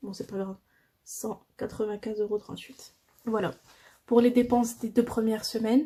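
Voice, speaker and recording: Her tone is dark and mellow as this woman speaks in a somewhat breathy, monotone, flat manner. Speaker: budgeting vlogger. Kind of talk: casual tutorial. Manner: hesitant.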